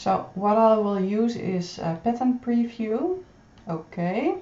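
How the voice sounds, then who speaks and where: Amid noticeable background noise, a woman with a Dutch accent speaks at a very slow pace. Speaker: pattern designer. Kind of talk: tutorial. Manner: halting.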